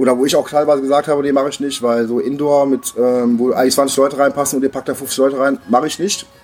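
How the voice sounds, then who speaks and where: A man with a fairly high-pitched voice talks over noticeable background noise. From Neuss, Lower Rhine, Germany. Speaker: acoustic punk singer-songwriter and record shop owner. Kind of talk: casual interview. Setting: bar before a concert. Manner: hesitant, many fillers.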